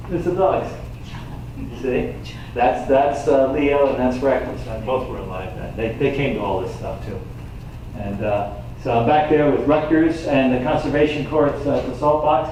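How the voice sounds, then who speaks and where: At a moderate pace, a man with an American accent speaks at a fairly high pitch with ordinary pitch variation, amid audible room echo and noticeable background noise. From rural New York, Hillburn area. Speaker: environmental activist and local speaker. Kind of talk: slide-show talk to audience. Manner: animated.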